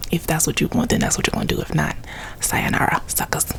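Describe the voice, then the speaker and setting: A woman is whispering in an American accent. Noticeable background noise is present. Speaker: ASMR YouTuber. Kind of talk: story time, casual talk to camera. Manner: soft-toned, chatty, humorous.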